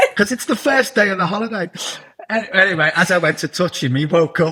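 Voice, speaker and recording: With a bright, sharp tone and lively intonation, a man speaks fairly quickly in a raised, projected voice. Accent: Liverpool. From northern England, Liverpool. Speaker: television producer and writer. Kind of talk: interview.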